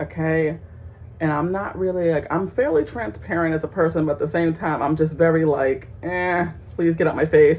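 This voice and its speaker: Her pitch very deep and low, a woman talks at a moderate pace with ordinary pitch variation. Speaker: vlogger. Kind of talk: casual monologue to camera. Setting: home, in a child's bedroom. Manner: loud and bubbly at times.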